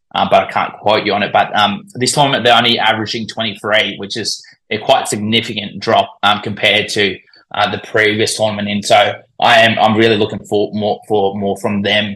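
A man with an Australian accent speaks at a moderate pace in a fairly low pitch. His tone is bright and sharp, his intonation monotone and flat. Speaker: cricket commentator and social media account runner.

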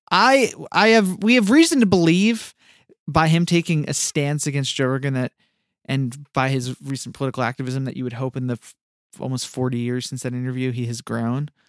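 An unremarkable speaking voice with lively intonation moves at a fairly quick pace, recorded very cleanly against a silent background with a dry, close sound and no echo. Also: man, medium pitch for a man. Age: 30s. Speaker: podcast co-host. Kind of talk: casual chat.

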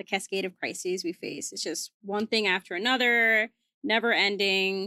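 A woman speaks at a moderate pace in a medium pitch with a bright, sharp tone, her voice dry and close with no echo on a very clean recording against a silent background. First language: Spanish. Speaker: magazine climate director, guest co-host. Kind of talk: casual conversational podcast chat.

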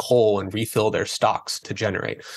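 In a quiet background, a man with a plain, everyday voice and an American accent speaks at a moderate pace with fairly low pitch and fairly even intonation. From US Northeast (northern Maine). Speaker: energy consultant. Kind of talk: interview.

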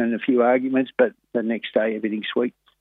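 A man at a medium pitch with an Australian accent, at a fairly quick pace. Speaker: harness racing trainer. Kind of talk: phone interview. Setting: phone call. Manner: halting.

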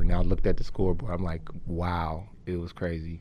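Fairly quick in pace, a man speaks with an American accent. His intonation is fairly even. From Oakland, California. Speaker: arena DJ. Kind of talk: casual chat.

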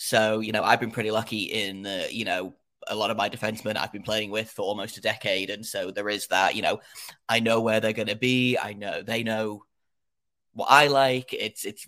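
A man with an English accent and a bright, sharp tone, fairly quick and fairly even in intonation, in a very clean recording with a silent background. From England. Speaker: hockey podcaster. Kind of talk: casual podcast chat. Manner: halting, hesitant with fillers.

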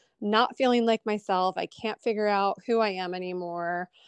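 In an American accent, a woman speaks at a moderate pace and medium pitch with ordinary pitch variation, an unremarkable speaking voice over a quiet background. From Columbus, Ohio. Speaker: abstract artist. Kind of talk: interview.

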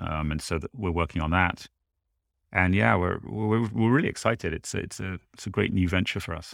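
With lively intonation and vocal fry, a man talks at a fairly quick pace in a very deep, low pitch. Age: 40s. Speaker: journalist and podcast creator. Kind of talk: interview.

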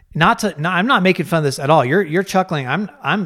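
On a very clean recording with a silent background, a man with a normal speaking voice and an American accent talks at a fairly quick pace with ordinary pitch variation. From Colorado. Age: 40s. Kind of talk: casual chat.

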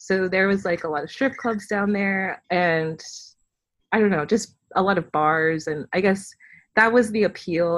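Against a quiet background, a woman with an American accent speaks in an unremarkable speaking voice, fairly low in pitch with ordinary pitch variation. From US South, Fayetteville, North Carolina. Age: 20s. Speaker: writer and filmmaker. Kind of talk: interview conversation.

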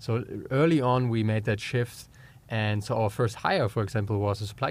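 With a German accent, a man talks at a moderate pace and a fairly low pitch. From Germany. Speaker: entrepreneur. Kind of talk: interview. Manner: halting.

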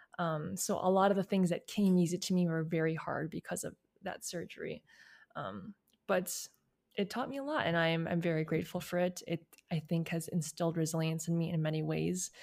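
Here is a woman with an American accent and a plain, everyday voice. She talks at a fairly quick pace, with a fairly low pitch and ordinary pitch variation. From US Midwest, outside Chicago, Illinois. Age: 20s. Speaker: analyst, model and recording artist. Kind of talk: interview.

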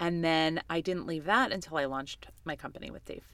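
Speaking at a fairly quick pace, a woman with an American accent has a fairly low pitch, ordinary pitch variation and a bright, sharp tone. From New York City (Queens). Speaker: agency CEO and author. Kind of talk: interview.

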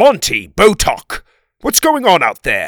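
Slow and fairly bright in tone, a put-on character voice swings very widely in pitch in a very clean recording with a silent background. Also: man.

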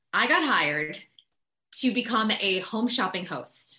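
A fairly high-pitched woman with an American accent, bright and sharp in tone, lively in intonation, at a fairly slow pace. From US Northeast, Massachusetts (Boston area). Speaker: entertainment reporter. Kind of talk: casual interview chat.

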